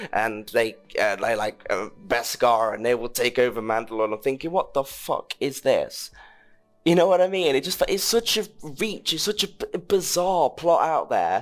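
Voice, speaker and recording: Someone with a British accent speaks at a moderate pace while music plays in the background. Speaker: film podcast host. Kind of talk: casual chat. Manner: halting.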